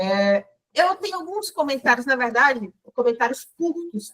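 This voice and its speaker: This is a woman. Her pitch is high. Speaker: book club member. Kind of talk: book club discussion. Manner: halting, repeated words.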